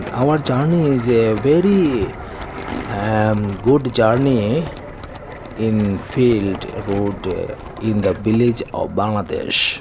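Very slow speech with long, frequent pauses over noticeable background noise. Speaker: vlogger. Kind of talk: casual vlog chat. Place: motorbike.

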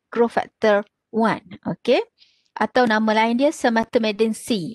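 A woman with a Malaysian accent, dry sound with no echo, and a quiet background. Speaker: pathology lecturer. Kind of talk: lecture. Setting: video call. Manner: halting with many fillers. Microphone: video call.

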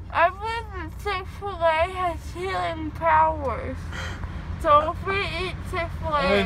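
A woman at a very slow pace, in a dry recording with no echo but noticeable background noise. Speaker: vlogger after dental surgery. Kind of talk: casual vlog chat. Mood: playful, whiny craving. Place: car. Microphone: phone near.

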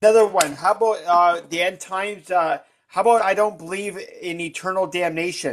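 A man's high-pitched voice at a fairly quick pace, with fairly even intonation. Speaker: livestream participant; guest. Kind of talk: casual chat. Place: home room. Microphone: video call.

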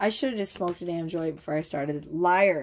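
Over light background noise, a woman talks in an animated tone with lively intonation. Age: 40s. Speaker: tarot reader. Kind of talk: tarot reading monologue to camera. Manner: casual, rambling and animated. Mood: loose, joking, frustrated. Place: home room. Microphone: phone near.

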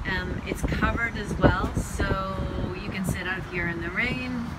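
A woman is speaking. Loud background noise surrounds her. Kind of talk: property tour commentary. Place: street. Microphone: phone near.

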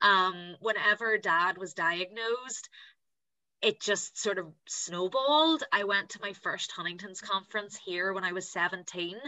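The pace is fairly slow as a woman speaks at medium pitch with ordinary pitch variation. The background is quiet. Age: 20s. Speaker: patient advocate and blogger. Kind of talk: personal testimony on a panel. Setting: video call. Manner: prepared reading. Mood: warm, enthusiastic. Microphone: video call.

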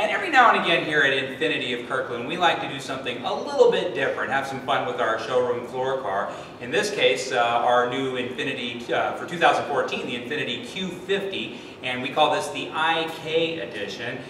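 With light background noise and audible room echo, a man speaks at a moderate pace with hardly any pauses. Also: ordinary pitch variation. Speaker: car salesman. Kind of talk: product presentation. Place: shop. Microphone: camera far.

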